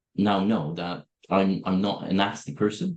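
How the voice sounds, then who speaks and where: A man speaks with a Polish accent. His pace is fairly slow. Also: quiet background. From Poland. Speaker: software company owner. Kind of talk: interview. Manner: direct.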